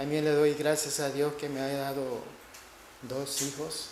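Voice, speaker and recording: Audible room echo surrounds a man's fairly high-pitched voice. He speaks at a fairly slow pace. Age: 60s. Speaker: preacher. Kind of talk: sermon.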